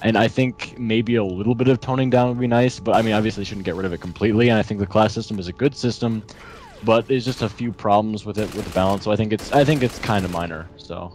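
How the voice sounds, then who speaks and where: The speech goes at a very fast pace with fairly even intonation. Music plays in the background. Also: man, fairly low pitch for a man. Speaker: gamer, co-commentator. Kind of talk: gameplay commentary chat. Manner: halting, many restarts.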